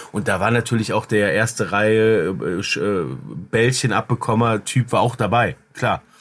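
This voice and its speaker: A man speaks in an ordinary speaking voice at a medium pitch and a moderate pace. His pitch variation is ordinary and his loudness very even. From Cologne, Germany. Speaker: media producer and podcaster. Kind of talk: casual chat.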